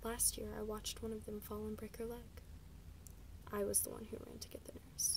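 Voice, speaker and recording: A woman is whispering. She is soft-spoken. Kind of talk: ASMR book reading, soft-spoken. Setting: recorded without a proper microphone. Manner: soft-spoken, whispered.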